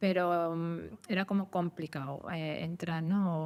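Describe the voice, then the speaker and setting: In a plain, everyday voice, a woman speaks at a fairly low pitch with fairly even intonation. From Andalusia, Spain (Úbeda). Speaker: actors' agent and audiovisual producer. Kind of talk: podcast interview answer.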